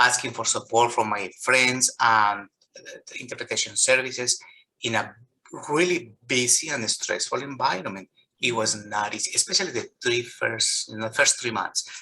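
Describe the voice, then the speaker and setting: At a moderate pace, a man talks with a Colombian accent. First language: Spanish. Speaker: physician. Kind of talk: interview. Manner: halting.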